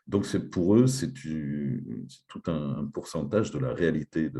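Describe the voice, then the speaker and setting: In a very deep, low pitch, a man talks at a very slow pace with vocal fry, a dark, mellow tone and very wide pitch swings. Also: hardly any pauses, big swings in loudness. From France. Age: 50s. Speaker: teacher. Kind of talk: conference talk.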